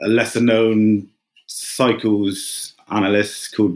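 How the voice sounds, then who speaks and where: Fairly low-pitched male voice at a very slow pace. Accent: English. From England. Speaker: retail investor. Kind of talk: podcast interview. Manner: flat, unexcited.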